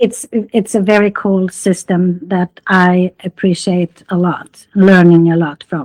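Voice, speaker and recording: A woman speaks at a very slow pace with a Swedish accent, barely pausing, her medium pitch fairly even in intonation. The recording is very clean and dry, close with no echo, over a silent background. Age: 80s+. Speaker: interviewee, golfer. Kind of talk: interview. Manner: halting.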